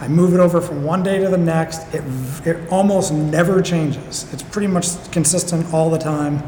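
A man talks at a moderate pace with a fairly high pitch and monotone, flat intonation. Noticeable background noise runs underneath. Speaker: gym member. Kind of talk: casual interview.

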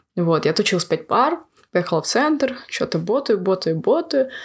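A woman with an unremarkable speaking voice talks at a moderate pace. Her pitch is medium and her intonation lively. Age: 20s. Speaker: university student. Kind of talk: casual chat.

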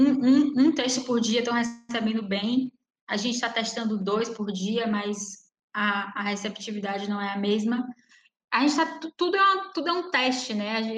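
A woman with a plain, everyday voice, fairly high in pitch, lively in intonation, at a moderate pace. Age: 20s. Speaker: poet. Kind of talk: casual chat.

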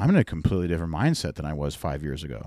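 Speech in an American accent comes at a fairly quick pace. The recording is very clean, with a silent background. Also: man. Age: 20s. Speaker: cigar sales rep. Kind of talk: casual chat.

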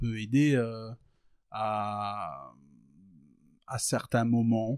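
The recording is very clean, with a silent background and a dry, close sound with no echo, as a man speaks at medium pitch. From rural France. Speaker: rapper. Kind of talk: casual interview. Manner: halting, many fillers.

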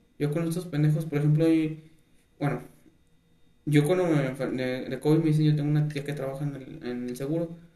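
A man with a fairly high pitch and fairly even intonation, at a fairly quick pace, with audible room echo. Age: 20s. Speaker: podcast host. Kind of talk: casual chat.

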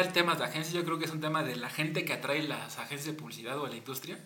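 This man talks very fast at a fairly high pitch, with a Mexican accent. Noticeable background noise and audible room echo fill the recording. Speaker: podcast host and advertising creative. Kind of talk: casual chat.

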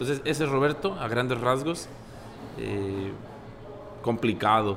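With noticeable background noise behind him, a man speaks fairly slowly at a medium pitch, his intonation lively. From Sinaloa, Mexico. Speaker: restaurant owner. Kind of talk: casual chat.

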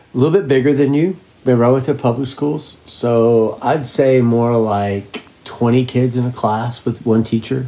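A man speaks in a normal speaking voice at medium pitch and a moderate pace. His loudness stays very even and his intonation fairly even. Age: 50s. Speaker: parent interviewee. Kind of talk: casual interview.

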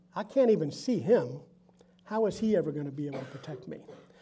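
A man talks fairly quickly against noticeable background noise. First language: Spanish. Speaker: business founder. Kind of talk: faith-based personal testimony talk. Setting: stage with audience.

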